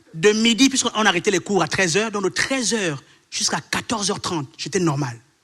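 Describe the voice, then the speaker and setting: Very fast and lively in intonation, a man speaks with a bright, sharp tone at a high pitch. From Gabon. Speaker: preacher. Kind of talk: sermon.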